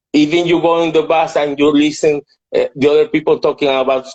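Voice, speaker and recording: The speaker has a Spanish accent. The intonation is fairly even. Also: man. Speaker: entrepreneur. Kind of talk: interview. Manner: halting.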